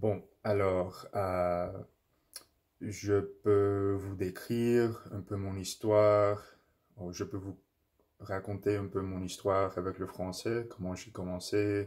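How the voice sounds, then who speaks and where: This man speaks very slowly in an English accent, with long, frequent pauses and big swings in loudness. His fairly low pitch stays monotone, with flat intonation. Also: quiet background. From English-speaking Canada. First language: English (speaking French). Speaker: language learner vlogger. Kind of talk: casual monologue, language practice. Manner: halting, many fillers and self-corrections. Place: home room. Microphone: phone near.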